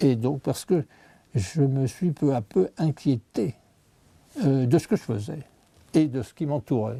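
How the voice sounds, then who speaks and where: A man speaks very slowly in a dark, mellow tone, somewhat breathy, with lively intonation and long, frequent pauses. The recording is very clean, with a silent background. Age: 80s+. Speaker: scientist. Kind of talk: interview. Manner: halting.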